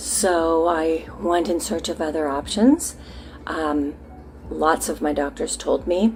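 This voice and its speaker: Over music in the background, the speech moves at a very slow pace. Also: woman, fairly low pitch for a woman, ordinary pitch variation. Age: 60s. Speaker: patient giving a treatment testimonial. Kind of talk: testimony. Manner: halting, many fillers.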